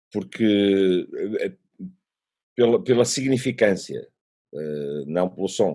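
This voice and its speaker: A man with a European Portuguese accent speaks in a fairly low pitch with a dark, mellow tone. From Portugal. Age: 50s. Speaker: musician. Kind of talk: interview answer. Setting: remote call.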